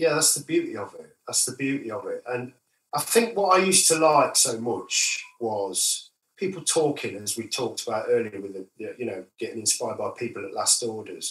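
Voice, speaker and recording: A man with an East Midlands accent at a moderate pace, with big swings in loudness. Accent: northern English, East Midlands. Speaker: musician. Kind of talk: casual interview.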